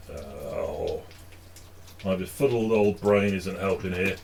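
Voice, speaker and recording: A man talks with a slight northern English accent. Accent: slight northern English (Stockport). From northern England, Stockport. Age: 50s. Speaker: hobby painting streamer. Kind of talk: casual live stream chat. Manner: hesitant, many fillers.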